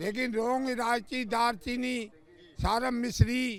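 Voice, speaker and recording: A man speaks at an extremely high pitch. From Rajasthan, India. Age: 70s. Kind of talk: interview.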